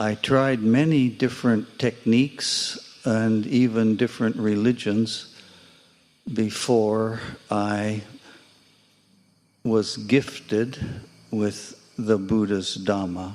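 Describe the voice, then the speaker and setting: Speaking very slowly with long, frequent pauses, a man with an American accent keeps a medium pitch and fairly even intonation. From United States. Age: 70s. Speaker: Buddhist practitioner. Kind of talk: testimony.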